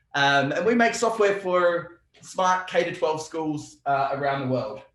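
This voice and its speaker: A man speaks at a fairly slow pace with a high pitch and lively intonation, and audible room echo surrounds his voice. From Australia. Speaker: software company representative. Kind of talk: casual interview.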